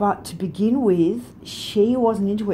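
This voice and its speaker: A woman with a dark, mellow tone speaks at a fairly slow pace, sounding somewhat breathy over light background noise. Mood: calm, reflective. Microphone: phone near.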